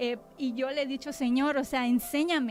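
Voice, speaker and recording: Music plays in the background. A woman speaks at a high pitch and a moderate pace. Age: 30s. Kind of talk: testimony. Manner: sharp, clipped speech.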